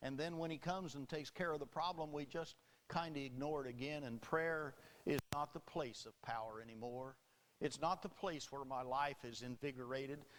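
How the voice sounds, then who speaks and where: Here a man with a plain, everyday voice speaks at a moderate pace, pitched fairly high, with ordinary pitch variation. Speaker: Baptist preacher. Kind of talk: sermon delivered to a congregation.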